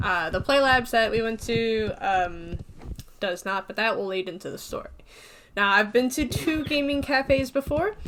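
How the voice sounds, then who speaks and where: At a moderate pace, a woman with a fairly high pitch and lively intonation has an unremarkable speaking voice. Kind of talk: casual storytime narration.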